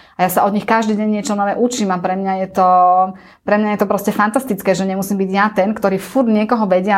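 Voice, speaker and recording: Over noticeable background noise, a woman talks at a very fast pace. Her medium-pitched voice has a monotone, flat intonation. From central Slovakia, near Banská Štiavnica. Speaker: travel agency owner and CEO. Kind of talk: interview.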